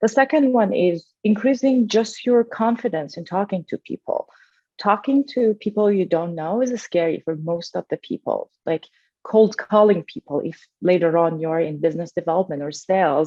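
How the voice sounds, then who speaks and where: Speaking at a moderate pace, a woman uses lively intonation at a medium pitch. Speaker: entrepreneur and scientist. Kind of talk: interview.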